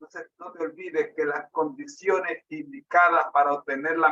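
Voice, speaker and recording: Delivered at a fairly slow pace, the voice has a dry, close sound with no echo. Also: man. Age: 60s. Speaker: preacher. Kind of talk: sermon with personal testimony.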